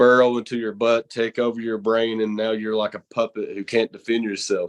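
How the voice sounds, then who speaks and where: A man speaks with a strong Southern accent at medium pitch. His intonation is monotone and flat. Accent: thick Southern. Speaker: horror show host and pro wrestler. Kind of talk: casual interview.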